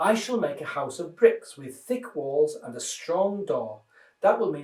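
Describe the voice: Someone does plain reading aloud here.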